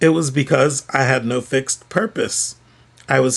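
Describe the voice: Someone does plain reading aloud, the pitch varying in an ordinary way.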